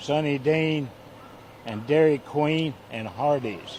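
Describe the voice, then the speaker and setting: A man with an American accent speaks at a very slow pace. His pitch is fairly high, with ordinary variation. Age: 80s+. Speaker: volunteer firefighter fundraiser. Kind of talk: reading aloud donor list; casual interview. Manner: halting, stammering.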